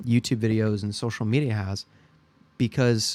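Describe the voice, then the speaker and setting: Fairly even intonation in a man's medium-pitched voice. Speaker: gaming YouTuber. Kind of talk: casual gameplay commentary. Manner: rambling, hesitant with fillers.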